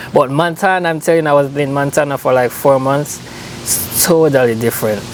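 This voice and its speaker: Over noticeable background noise, a man in a Jamaican accent talks at a fairly quick pace with a fairly high pitch and fairly even intonation. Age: 20s. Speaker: visiting friend. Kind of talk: casual chat.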